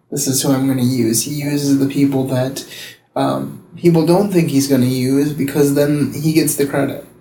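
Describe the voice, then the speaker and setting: With audible room echo, a man speaks at a moderate pace in a fairly high pitch, his intonation fairly even. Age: 30s. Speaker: pastor. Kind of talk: testimony. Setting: public library.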